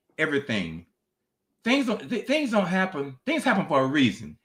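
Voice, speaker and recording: With a Southern US accent, this man speaks with vocal fry and very wide pitch swings. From US South, North Carolina. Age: 80s+. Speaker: author and minister. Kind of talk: interview. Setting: video call.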